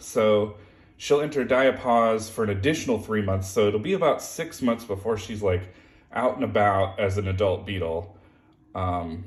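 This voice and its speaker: A man speaks at a moderate pace in a fairly low, somewhat breathy voice with ordinary pitch variation, and the room echo is audible. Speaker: beetle keeper. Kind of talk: casual vlog. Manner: halting.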